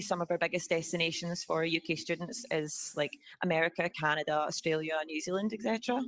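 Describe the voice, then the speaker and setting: In a Scottish accent, a woman talks at a fairly quick pace with ordinary pitch variation. The recording is very clean and dry, close with no echo and a silent background. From Scotland. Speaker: student organization officer. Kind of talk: presentation to assembly. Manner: hesitant, many fillers.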